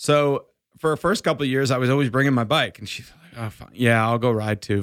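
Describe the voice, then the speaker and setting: On a very clean recording with a silent background, a man with a plain, everyday voice and medium pitch talks at a fairly quick pace, with ordinary pitch variation and big swings in loudness. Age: 40s. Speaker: endurance coach. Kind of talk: casual chat. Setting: studio.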